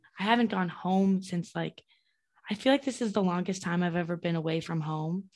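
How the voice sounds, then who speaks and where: An ordinary speaking voice from a woman, medium in pitch with ordinary pitch variation, at a moderate pace over a quiet background. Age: 20s. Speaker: podcast co-host. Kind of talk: casual chat.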